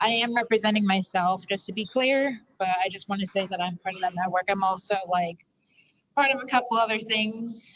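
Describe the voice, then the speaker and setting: A woman with a New York accent talks at a fairly quick pace, her medium pitch showing ordinary variation. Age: 20s. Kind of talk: panel discussion. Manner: halting.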